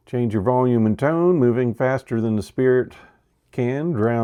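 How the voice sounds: The background stays quiet. Pitch varies in an ordinary way across a natural reading voice.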